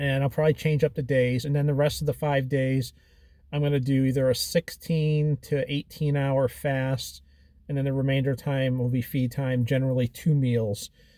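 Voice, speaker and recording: At a moderate pace, a man with a fairly high pitch and a dark, mellow tone speaks in a flat, monotone way. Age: 40s. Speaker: keto dieter documenting weight loss. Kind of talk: casual video journal talk to camera.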